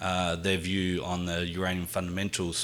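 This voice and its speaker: Speaking at a moderate pace, a man with a strong Australian accent has a very deep, low pitch and a bright, sharp tone. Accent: Australian, thick. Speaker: mining company executive. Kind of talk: corporate presentation. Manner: halting, many fillers.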